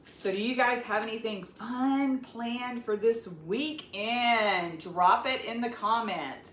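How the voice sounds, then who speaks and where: Speaking very slowly with hardly any pauses, a woman with an American accent uses a fairly high voice and ordinary pitch variation over noticeable background noise. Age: 50s. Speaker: cooking vlogger. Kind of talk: cooking tutorial. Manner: casual and chatty.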